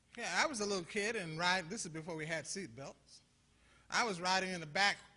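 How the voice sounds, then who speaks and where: Speaking at a fairly quick pace, a man with a high pitch sounds animated, his intonation lively. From US Midwest, Toledo, Ohio. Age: 60s. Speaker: pastor. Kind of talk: conference talk. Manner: animated, preacherly call-and-response; halting, repeats words.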